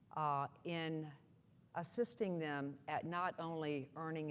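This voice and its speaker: A woman with an American accent, very deep and low in pitch, with ordinary pitch variation. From US South. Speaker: nonprofit executive. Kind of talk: keynote speech.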